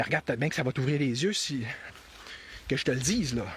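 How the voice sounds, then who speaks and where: This man speaks at a very fast pace in a Quebec accent. His voice sits at a medium pitch. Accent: Québécois French. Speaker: political commentator. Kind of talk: live-stream monologue. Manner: halting, many repetitions; animated.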